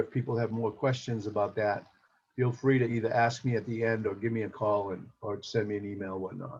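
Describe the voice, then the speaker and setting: A man speaks at a fairly quick pace in a medium pitch, his voice somewhat breathy, with ordinary pitch variation. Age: 60s. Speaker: insurance agent. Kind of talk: presentation.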